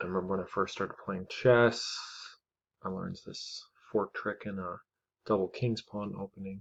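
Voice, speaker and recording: Against a quiet background, a man with a fairly low pitch talks at a moderate pace with fairly even intonation, big swings in loudness, and long, frequent pauses. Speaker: chess streamer. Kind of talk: live game commentary. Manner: monotone.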